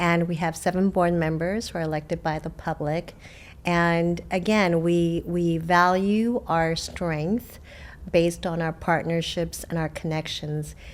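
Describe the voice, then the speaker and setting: This woman talks at a fairly slow pace with a Korean accent. Her fairly low pitch stays monotone, with flat intonation. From South Korea, moved to US at age eight. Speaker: water district general manager. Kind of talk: interview.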